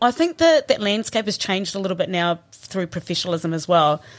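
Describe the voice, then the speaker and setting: The speaker has a southern New Zealand accent. The pitch swings very widely. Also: woman. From New Zealand, Southland (Riverton). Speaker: former rugby player and coach. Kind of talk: casual chat. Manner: animated.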